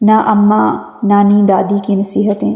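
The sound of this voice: A woman with a dark, mellow tone and medium pitch speaks slowly, with vocal fry.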